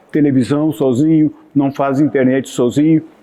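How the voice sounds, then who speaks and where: Noticeable background noise runs under the recording. A man speaks at a fairly high pitch. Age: 70s. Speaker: local historian and TV presenter. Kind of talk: casual chat. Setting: café.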